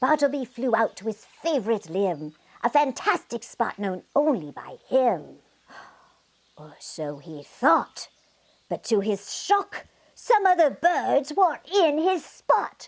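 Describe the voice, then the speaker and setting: A female-sounding, high, put-on character voice moves at a fairly slow pace with very wide pitch swings. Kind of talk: bedtime story. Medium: read story. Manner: animated, rhyming cadence.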